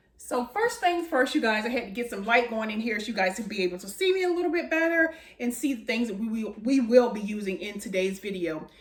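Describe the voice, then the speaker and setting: Over noticeable background noise, a woman with a fairly high voice speaks very fast, her loudness swinging widely and her pitch swinging very widely. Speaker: home baking video host. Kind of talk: cooking tutorial. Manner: casual, filler-heavy.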